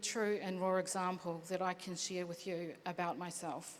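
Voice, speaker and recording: A woman with a New Zealand accent at a medium pitch. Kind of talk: panel talk.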